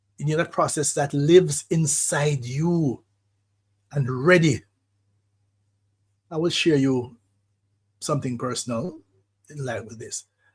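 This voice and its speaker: The voice is somewhat breathy and moves at a fairly slow pace. Long, frequent pauses break up the speech. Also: man, fairly high pitch for a man, ordinary pitch variation. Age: 70s. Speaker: radio host, psychologist. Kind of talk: radio monologue, reflective talk. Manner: measured, reflective.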